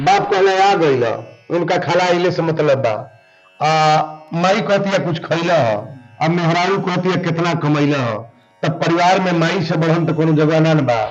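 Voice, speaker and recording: Over music in the background, a man with a Bhojpuri accent speaks at a high pitch and a moderate pace, with ordinary pitch variation and long, frequent pauses. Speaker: religious storyteller. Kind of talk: interview answer.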